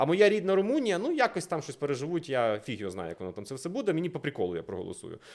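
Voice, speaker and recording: A man's animated, fairly high voice with vocal fry, very wide pitch swings and big swings in loudness, at a very fast pace in a very clean recording with a silent background. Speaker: political analyst. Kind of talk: casual discussion.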